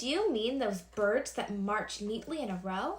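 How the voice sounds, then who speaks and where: A loud, put-on character voice delivered at a moderate pace. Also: woman, fairly high pitch for a woman. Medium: read story. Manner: loud, hearty.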